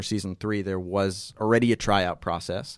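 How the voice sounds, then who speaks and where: In a plain, everyday voice with an American accent, a man talks at a moderate pace with fairly even intonation over a very clean recording with a silent background. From New York, Westchester. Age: 20s. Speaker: sports journalist. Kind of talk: podcast interview. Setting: studio.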